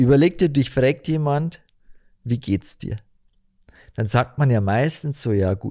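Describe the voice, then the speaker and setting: A man's medium-pitched, dark, mellow voice with lively intonation at a very slow pace with long, frequent pauses, on a very clean recording with a silent background. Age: 30s. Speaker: podcast co-host. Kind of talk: casual chat.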